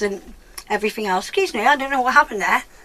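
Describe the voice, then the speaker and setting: With noticeable background noise behind her, a woman speaks at a high pitch with lively intonation. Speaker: beauty vlogger. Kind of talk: product review vlog. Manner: stumbling over words.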